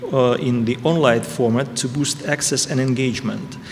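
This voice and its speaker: A man with a Russian accent talks at a fairly slow pace against noticeable background noise. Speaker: ambassador. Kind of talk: prepared speech. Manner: halting.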